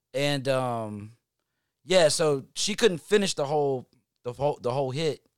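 With a Southern US accent, a man talks at a fairly slow pace and ordinary pitch variation, recorded very cleanly with a silent background and a dry, close sound with no echo. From North Carolina, Hickory. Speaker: musician. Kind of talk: casual chat.

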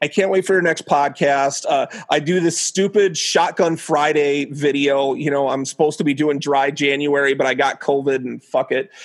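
A man's plain, everyday voice at a moderate pace, with ordinary pitch variation. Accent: American. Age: 40s. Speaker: stand-up comedian. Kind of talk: casual chat.

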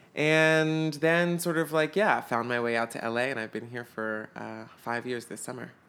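In an American accent, the speaker moves at a moderate pace with hardly any pauses, a bright, sharp tone and ordinary pitch variation. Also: man, medium pitch for a man. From US South, Atlanta, Georgia. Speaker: actor. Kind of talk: casual chat.

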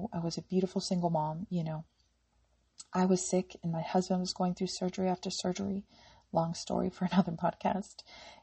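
Somewhat breathy and fairly low in pitch, a woman talks at a fairly quick pace in a monotone, flat intonation. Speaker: health podcaster. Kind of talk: casual monologue.

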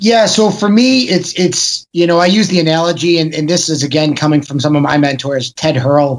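Speaking with an American accent at a fairly quick pace, a man uses a normal speaking voice pitched fairly high. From Chicago. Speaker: actor. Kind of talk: casual chat.

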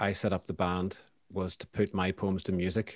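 A man with a Northern Irish accent. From Northern Ireland, County Down (Banbridge). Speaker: poet. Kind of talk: casual interview.

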